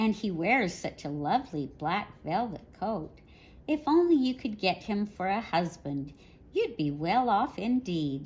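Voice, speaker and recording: A female-sounding voice performs a put-on character voice. It sits at a medium pitch and moves at a fairly slow pace. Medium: read story.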